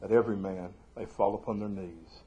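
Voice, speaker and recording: A man talks with a Southern US accent and a somewhat breathy voice. Audible room echo surrounds him. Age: 40s. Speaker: pastor. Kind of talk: sermon. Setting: church live stream.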